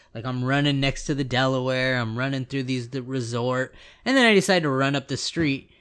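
With a West Coast American accent, a man talks at a fairly quick pace in a medium pitch with fairly even intonation over a quiet background. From US West Coast. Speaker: podcast co-host. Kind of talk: casual chat.

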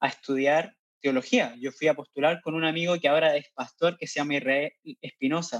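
With a Chilean accent, a man talks at a fairly high pitch in a dry, close sound with no echo. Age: 20s. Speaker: missionary. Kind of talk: interview.

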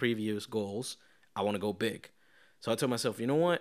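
The speaker mumbles with a Spanish accent. Pitch variation is ordinary. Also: man. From Venezuela. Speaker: podcast host. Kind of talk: casual chat. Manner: mumbling, rambling.

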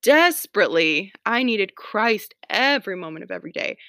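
With a plain, everyday voice and an American accent, a woman speaks at a moderate pace with lively intonation, recorded dry and close with no echo on a very clean, silent background. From US South, Atlanta. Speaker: homemaking podcaster, mother. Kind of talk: casual solo podcast talk. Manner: frequent fillers, chatty.

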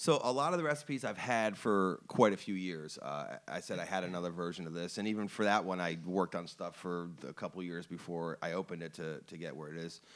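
A man with a very deep, low voice talks very fast in an American accent, with lively intonation and hardly any pauses. The recording is very clean, with a silent background. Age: 40s. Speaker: chef and restaurant owner. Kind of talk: casual interview chat. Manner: animated.

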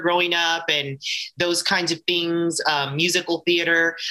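A woman with a fairly low pitch. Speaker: adult performer and intimacy coordinator. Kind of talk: casual interview. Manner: fast.

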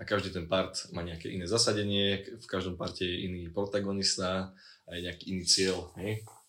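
A man speaks in a very deep, low pitch with monotone, flat intonation at a fairly quick pace. His loudness swings widely, and audible room echo surrounds him. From Slovakia, Liptov region. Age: 20s. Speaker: university student. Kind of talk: casual chat. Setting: late-night recording in student dorm.

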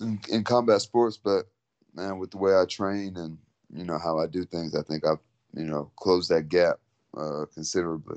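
A man with a Texan accent speaks in a very deep, low pitch. His pace is moderate and his pitch variation ordinary. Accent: Texan American English. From Texas, San Antonio. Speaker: mixed martial arts fighter. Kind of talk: interview. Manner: relaxed.

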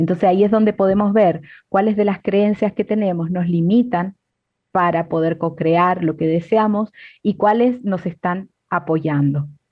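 A woman speaks at a fairly slow pace with a medium pitch. Her voice is somewhat breathy. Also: ordinary pitch variation. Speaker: co-host. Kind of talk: casual chat.

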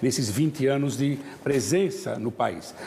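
The man has a plain, everyday voice. It sits at a fairly high pitch with ordinary pitch variation. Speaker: international affairs commentator. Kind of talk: talk show discussion.

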